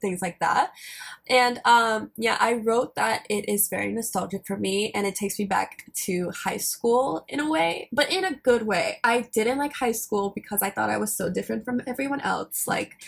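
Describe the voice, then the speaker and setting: Noticeable background noise surrounds a woman at a moderate pace. Her fairly high pitch shows ordinary pitch variation. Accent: American. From US South, rural Alabama. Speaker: podcast co-host. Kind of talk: casual chat.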